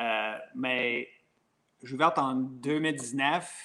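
A man in an English accent with a medium pitch, on a very clean recording with a silent background. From Quebec, Covey Hill / Franklin area (anglophone community). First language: English (speaking French). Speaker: brewery owner and brewer. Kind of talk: interview. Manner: halting, many hesitations.

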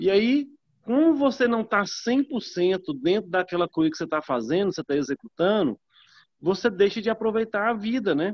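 At a moderate pace, a man speaks in a high pitch. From northern Minas Gerais, Brazil. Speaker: network marketing distributor. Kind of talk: group video call testimony.

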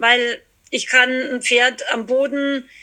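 Raised and projected, this woman's high-pitched voice has a bright, sharp tone. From Austria, small mountain village. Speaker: horse trainer and equine therapist. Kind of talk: casual interview.

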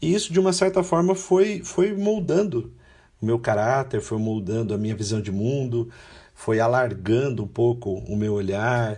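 Somewhat breathy and dark, mellow in tone, a man speaks at a medium pitch with very wide pitch swings. He goes at a fairly slow pace over a quiet background. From São Paulo state, Brazil (Guarulhos), then Londrina. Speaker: international volunteer, law graduate. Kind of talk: interview conversation.

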